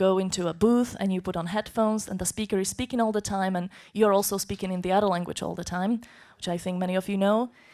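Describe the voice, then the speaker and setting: A woman talks at a very fast pace with a Slovak accent. Her intonation is fairly even. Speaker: conference interpreter. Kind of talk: conference talk.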